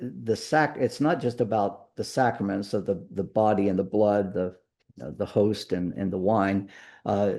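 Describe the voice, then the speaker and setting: A man speaks slowly-ish, fairly low in pitch, with a dark, mellow tone and ordinary pitch variation. The background is quiet. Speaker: pastor leading a church book study. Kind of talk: lecture.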